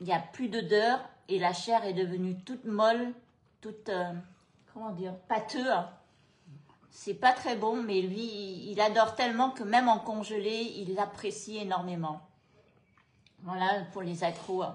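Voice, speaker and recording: Somewhat breathy, a woman speaks at a medium pitch and a fairly slow pace, her intonation fairly even. She leaves long, frequent pauses. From Cambodia, moved to France at 13. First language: Khmer (speaking French). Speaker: food and travel vlogger. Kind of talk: casual chat. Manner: hesitant, many fillers.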